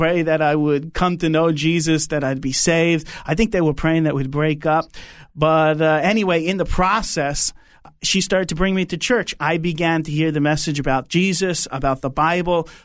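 Moderate pace and fairly even intonation, in a New York accent. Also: man, fairly high pitch for a man, quiet background. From Long Island, New York. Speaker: pastor and DJ. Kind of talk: interview conversation with prayer.

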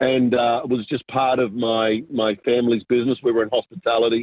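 With an Australian accent, a man speaks at medium pitch and a moderate pace, his intonation fairly even. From southwest Sydney, Australia. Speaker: business pastor and entrepreneur. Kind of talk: interview testimony.

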